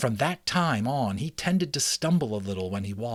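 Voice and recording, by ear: Lively intonation carries this reading aloud in a natural voice.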